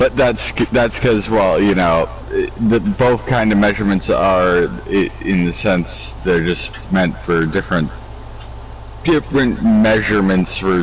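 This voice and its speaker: The speech moves at a fairly slow pace with very even loudness, over noticeable background noise. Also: man. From Canada. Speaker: gaming streamer. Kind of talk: casual chat. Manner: halting.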